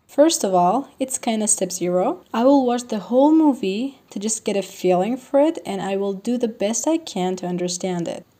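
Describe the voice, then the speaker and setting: A woman with a Persian accent, fairly high-pitched, lively in intonation, at a moderate pace. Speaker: language learning vlogger. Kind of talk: tutorial.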